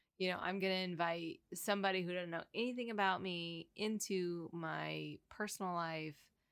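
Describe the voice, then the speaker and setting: A woman's fairly low, fairly even voice at a moderate pace, a normal speaking voice on a very clean recording with a silent background. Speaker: podcast host. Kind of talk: casual chat.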